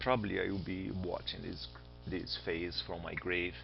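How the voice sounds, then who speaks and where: In a Brazilian accent, a man talks at a moderate pace with music in the background and audible room echo. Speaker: astronomy teacher. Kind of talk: lecture. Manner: casual.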